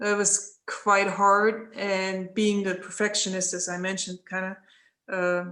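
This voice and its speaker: A woman with a German accent talks at a fairly slow pace. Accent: German accent, lasting. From East Germany. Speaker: former Olympic athlete, guest speaker. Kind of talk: Q&A talk to students. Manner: hesitant, many fillers and restarts.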